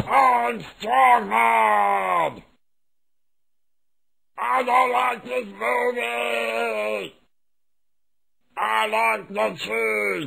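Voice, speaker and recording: In a put-on character voice, a man shouts at a medium pitch with fairly even intonation, a very slow pace, and long, frequent pauses. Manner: slow, dim-witted, garbled.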